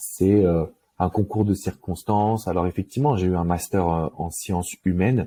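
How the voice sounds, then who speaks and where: A man speaks at a very deep, low pitch in a dark, mellow tone, with ordinary pitch variation at a moderate pace. The sound is dry and close with no echo, on a very clean recording with a silent background. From Paris suburbs, France. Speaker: love coach. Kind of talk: interview. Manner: casual, hesitant with many euh.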